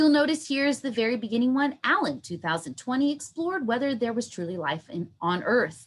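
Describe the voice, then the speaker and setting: This woman talks at a fairly quick pace with hardly any pauses, her high pitch swinging very widely. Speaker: university instructor. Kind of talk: online workshop lecture. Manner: animated.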